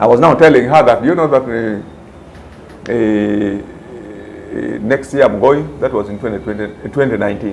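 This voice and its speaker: A man with a fairly low pitch and ordinary pitch variation at a moderate pace, amid audible room echo and noticeable background noise. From Uganda. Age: 60s. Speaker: retired police commander, private security executive. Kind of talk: interview.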